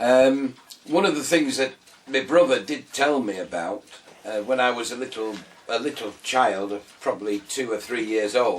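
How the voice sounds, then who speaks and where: A man with a Yorkshire accent talks at a moderate pace against noticeable background noise. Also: medium pitch for a man, ordinary pitch variation. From northern England, Scarborough, North Yorkshire. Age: 60s. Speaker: retired man telling his life story. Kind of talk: personal life story interview. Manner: hesitant, many fillers.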